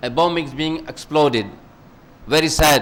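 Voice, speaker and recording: A man speaks at a high pitch. The room echo is audible. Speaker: preacher. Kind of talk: sermon.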